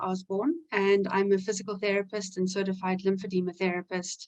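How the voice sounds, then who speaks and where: A woman speaks at a moderate pace with a South African accent, her pitch in the middle range. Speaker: physical therapist. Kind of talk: webinar self-introduction.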